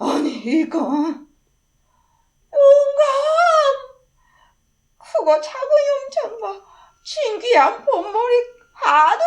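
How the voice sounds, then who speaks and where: A woman puts on a character voice at an extremely high pitch with very wide pitch swings. She speaks very slowly, with long, frequent pauses. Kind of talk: children's story reading.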